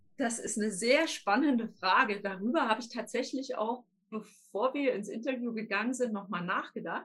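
A woman with a normal speaking voice talks at a moderate pace and a fairly high pitch, with ordinary pitch variation. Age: 40s. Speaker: life coach. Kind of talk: interview.

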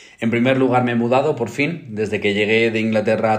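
A man speaks at a medium pitch. Audible room echo is present. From Spain, provincial. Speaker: podcast co-host. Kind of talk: casual chat.

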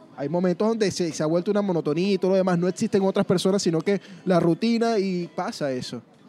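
Over noticeable background noise, a high-pitched man talks at a very fast pace with ordinary pitch variation and a dry, close sound with no echo. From Venezuela, Mérida. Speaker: podcast host. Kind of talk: casual chat. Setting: food park.

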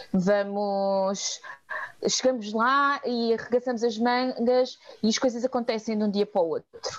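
A woman at a fairly slow pace, with ordinary pitch variation and very even loudness. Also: fairly high pitch for a woman. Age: 30s. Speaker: volunteering nonprofit coordinator. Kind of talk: interview. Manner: halting.

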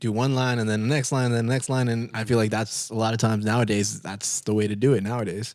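A man talks in an ordinary speaking voice at a medium pitch, keeping his intonation fairly even. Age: 20s. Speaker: podcast host. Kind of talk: casual chat.

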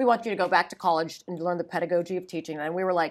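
On a very clean recording with a silent background, a woman with an American accent talks at a very fast pace. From Northeast Ohio. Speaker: education nonprofit executive. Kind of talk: panel interview.

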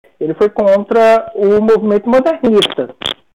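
This woman's voice has a fairly high pitch and a dark, mellow tone. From Brasília, Brazil. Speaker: psychology professor. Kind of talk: interview conversation.

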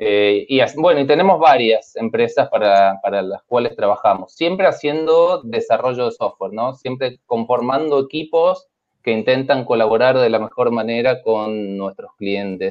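An ordinary speaking voice from a man, medium in pitch, fairly slow in pace, with lively intonation and hardly any pauses. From Argentina, San Luis. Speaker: programmer and company partner. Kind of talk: casual panel chat.

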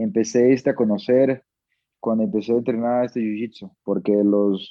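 A man with a Portuguese accent talks at a fairly slow pace, his medium pitch held in fairly even intonation. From Brazil, Manaus. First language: Portuguese (speaking Spanish). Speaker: MMA fighter. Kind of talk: interview.

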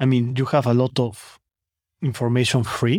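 A man's medium-pitched voice has a dry, close sound with no echo. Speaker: business owner and online course student. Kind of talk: casual interview chat. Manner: halting, non-native grammar.

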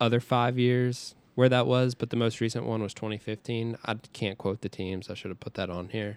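The man has an unremarkable speaking voice at medium pitch, with fairly even intonation. He keeps a moderate pace with hardly any pauses and big swings in loudness. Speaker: podcast co-host. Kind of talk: casual chat.

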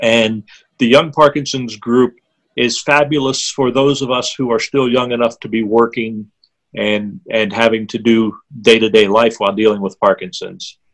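Here is a man with an American accent and an unremarkable speaking voice. His intonation is fairly even, at a moderate pace. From southwestern Pennsylvania. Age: 50s. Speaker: author and former drummer with Parkinson's. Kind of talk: interview.

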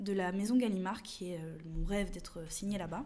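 A woman with a southern French accent, medium pitch and a dark, mellow tone, speaking at a fairly slow pace amid audible room echo. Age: young. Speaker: novelist. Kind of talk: interview.

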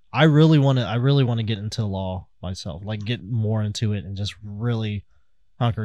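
A man's fairly low, dark and mellow voice with an American accent and ordinary pitch variation, on a very clean recording with a silent background. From Kansas City, US Midwest. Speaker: podcast co-host. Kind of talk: casual chat podcast.

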